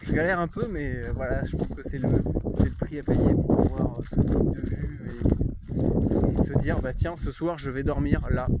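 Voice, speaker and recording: Through noticeable background noise, a man speaks with a slight southern French accent. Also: moderate pace. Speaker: outdoor survival vlogger. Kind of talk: casual vlog talk to camera. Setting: outdoors, walking through fields. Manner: hesitant, many fillers.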